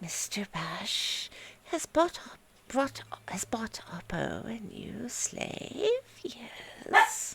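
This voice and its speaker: Someone whispers in a put-on character voice at a very slow pace. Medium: read story. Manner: speaks of self in third person, broken phrasing.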